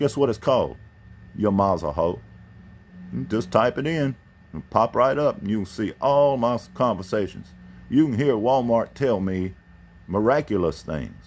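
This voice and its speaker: The speaker uses lively intonation at a moderate pace. Long pauses come often. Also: man, medium pitch for a man. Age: 60s. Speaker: channel owner, customer complaining. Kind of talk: customer service phone call.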